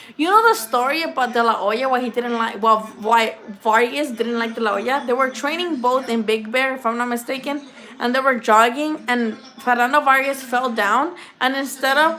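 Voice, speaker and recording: Speaking in a Spanish accent, a woman uses an animated tone and a high pitch with ordinary pitch variation. Her pace is moderate, and there is noticeable background noise. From Mexico, moved to US at eight. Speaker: boxing YouTuber. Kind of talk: casual live-stream chat. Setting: live stream. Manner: casual, swearing, animated.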